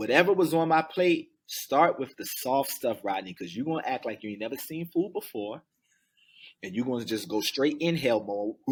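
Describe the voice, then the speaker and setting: A man at a fairly high pitch and moderate pace, his intonation lively, on a very clean recording with a silent background. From US East Coast (Baltimore, Maryland and Jacksonville, Florida). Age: 40s. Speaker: motivational speaker. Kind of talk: casual interview chat. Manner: animated storytelling.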